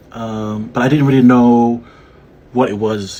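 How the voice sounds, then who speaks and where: The voice has a dark, mellow tone and a Samoan accent. Its intonation is fairly even. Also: man. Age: 30s. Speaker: fashion designer. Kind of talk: casual self-introduction video. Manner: casual, hesitant with fillers.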